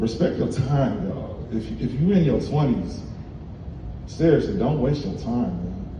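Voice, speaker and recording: Someone with a Texan accent speaks at a moderate pace with lively intonation, with audible room echo and noticeable background noise around the voice. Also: man. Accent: sounds Texan. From Ohio, US Midwest. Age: 40s. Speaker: comedian. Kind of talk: stand-up. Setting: stage with audience, seated.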